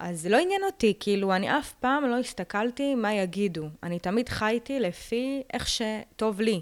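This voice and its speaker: A woman with a plain, everyday voice, fairly high in pitch, at a moderate pace with lively intonation and hardly any pauses. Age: young. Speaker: lawyer. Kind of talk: podcast interview.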